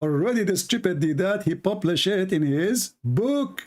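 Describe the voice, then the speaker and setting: A man with a non-native accent speaks at a moderate pace in a high voice, his intonation lively. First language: not English. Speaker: religious critic / debater. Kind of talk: heated rant. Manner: animated.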